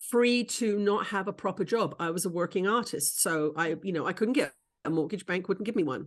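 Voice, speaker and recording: Set against a quiet background, an unremarkable speaking voice moves at a moderate pace with ordinary pitch variation. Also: woman. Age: 60s. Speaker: spiritual teacher and channeler. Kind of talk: casual chat.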